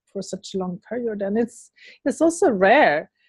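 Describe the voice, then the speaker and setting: A woman with a Swedish accent speaks in a dark, mellow tone, somewhat breathy and fairly high-pitched, with a dry, close sound and no echo. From Sweden. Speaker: interviewer. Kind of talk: interview.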